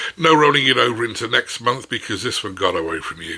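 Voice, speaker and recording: A man speaks at a moderate pace with noticeable background noise audible throughout. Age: 60s. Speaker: former CEO, writer. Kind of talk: casual talk to camera. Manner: witty, conversational.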